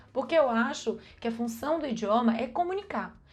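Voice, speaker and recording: The tone is animated, with very wide pitch swings. Delivery moves at a moderate pace. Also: woman. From Brazil. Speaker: vlogger. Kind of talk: casual advice vlog.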